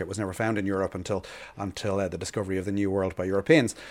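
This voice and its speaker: A man with an Irish accent at a very fast pace, on a very clean recording with a silent background. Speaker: birdwatching expert and podcast co-host. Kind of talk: casual educational chat. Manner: halting, frequent repetitions.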